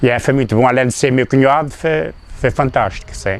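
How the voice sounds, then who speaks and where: This man has a medium-pitched voice with ordinary pitch variation. He talks at a moderate pace. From Azores, São Miguel (Povoação). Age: 60s. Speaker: former football player. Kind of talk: interview. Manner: halting.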